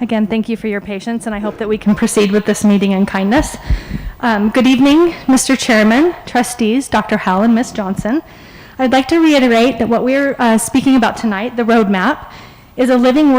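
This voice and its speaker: A woman with a fairly high pitch and ordinary pitch variation speaks at a fairly quick pace, with noticeable background noise present. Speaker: presenter at a school board meeting. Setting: public meeting with microphone. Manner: polite, calm.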